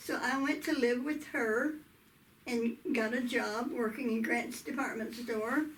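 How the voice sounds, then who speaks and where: Audible room echo surrounds a woman with a southern Oklahoma accent and a high pitch. She speaks at a very slow pace with ordinary pitch variation. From US South, southwestern Oklahoma. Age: 80s+. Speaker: interviewee telling life story. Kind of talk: oral history interview. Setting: video interview.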